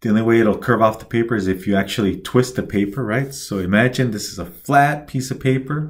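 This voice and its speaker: A man speaks fairly quickly with hardly any pauses, at medium pitch with ordinary variation. His voice is somewhat breathy, on a very clean recording with a silent background. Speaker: instructor. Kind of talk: tutorial.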